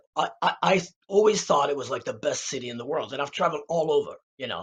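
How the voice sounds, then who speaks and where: A man talks at a very fast pace with a somewhat breathy sound and ordinary pitch variation. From Czech Republic (Prague). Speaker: jazz musician. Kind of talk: podcast interview. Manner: halting, many repetitions and fillers.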